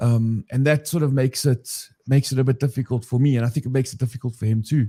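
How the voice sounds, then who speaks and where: Very fast speech from a man at a medium pitch, somewhat breathy, with a dark, mellow tone, fairly even intonation, and a dry, close sound with no echo. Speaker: recovery channel host. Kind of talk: casual discussion. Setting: live video stream. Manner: halting.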